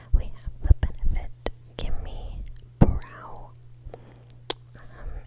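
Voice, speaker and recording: A woman's relaxed whisper against noticeable background noise. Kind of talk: ASMR makeup show and tell, casual talk to camera. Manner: whispered, relaxed.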